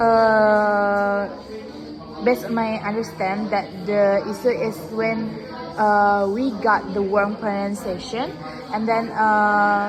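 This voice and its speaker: Over music in the background and with audible room echo, a woman speaks at a very slow pace and medium pitch, her intonation monotone and flat. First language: not English. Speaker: student. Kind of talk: classroom speaking practice. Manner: halting.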